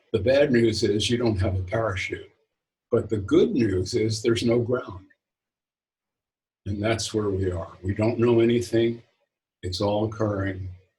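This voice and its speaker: Speaking at a fairly slow pace, a man uses a fairly low, somewhat breathy voice with a dark, mellow tone and fairly even intonation. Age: 70s. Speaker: spiritual author. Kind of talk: interview. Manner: halting, with frequent repetitions.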